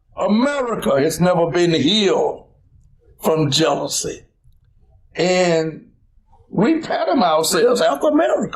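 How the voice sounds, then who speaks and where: A man speaks at a fairly slow pace with long, frequent pauses. His loudness stays very even, and room echo can be heard. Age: 70s. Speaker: civil rights leader. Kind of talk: interview. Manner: preacherly, emphatic.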